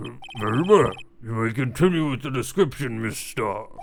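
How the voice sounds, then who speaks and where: Using a put-on character voice, a man speaks at medium pitch. His intonation is lively and his pace moderate. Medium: game stream. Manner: formal, hesitant.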